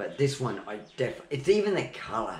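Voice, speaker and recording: With audible room echo, a man of medium pitch speaks in an Australian accent with lively intonation. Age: 60s. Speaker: home video maker. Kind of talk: casual chat. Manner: animated.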